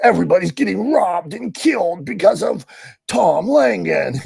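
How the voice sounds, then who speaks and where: A man puts on a raspy character voice with a dramatic tone. He speaks at a moderate pace. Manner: scary, dramatic.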